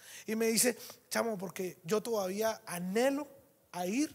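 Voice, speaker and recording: Here a man talks in an animated tone with a high pitch. His pitch varies in an ordinary way. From Venezuela. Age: 30s. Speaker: network marketing speaker; conference speaker. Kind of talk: motivational talk. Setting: stage with audience. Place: hall.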